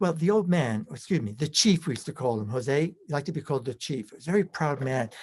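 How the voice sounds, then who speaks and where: In an American accent, a man talks very fast with lively intonation, a fairly high pitch and a somewhat breathy sound. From US Northeast, Brooklyn, New York. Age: 70s. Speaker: personal development trainer. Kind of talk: interview.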